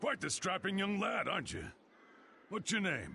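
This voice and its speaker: In a put-on character voice, a man speaks at a moderate pace with a high, raspy pitch and lively intonation over clear background noise. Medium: video game. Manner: gruff, folksy.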